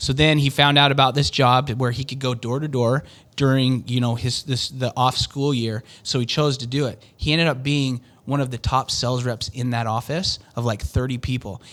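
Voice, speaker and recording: The recording is very clean, with a silent background. A man talks at a moderate pace with a western US accent. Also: medium pitch for a man. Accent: western American. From Utah. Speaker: door-to-door sales businessman. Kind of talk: interview. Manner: animated.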